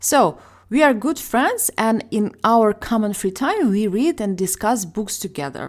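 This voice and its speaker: Over a silent background on a very clean recording, a woman speaks with a Ukrainian accent. Her fairly high pitch moves with lively intonation at a fairly slow pace. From Ukraine. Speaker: ESL teacher, podcast host. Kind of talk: casual educational podcast chat.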